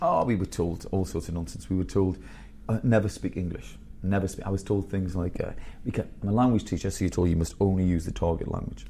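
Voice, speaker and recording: A very fast, somewhat breathy delivery in a dark, mellow tone. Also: man, very deep, low pitch for a man. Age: 50s. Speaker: school headteacher. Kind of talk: podcast interview. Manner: animated.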